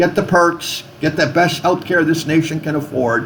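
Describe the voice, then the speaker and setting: The speaker has an American accent, and there is noticeable background noise. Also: man. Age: 60s. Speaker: chaplain and healthcare activist. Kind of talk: video message monologue. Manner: animated.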